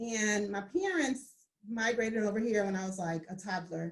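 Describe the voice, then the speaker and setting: A somewhat breathy woman's voice, fairly high in pitch, with an American accent. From New Jersey and Georgia, US. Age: 40s. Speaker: accountant and business owner. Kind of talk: interview.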